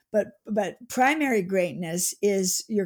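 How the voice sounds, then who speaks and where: With an unremarkable speaking voice, a woman talks at medium pitch with ordinary pitch variation. Her pace is fairly slow. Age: 60s. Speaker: author. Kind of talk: interview conversation.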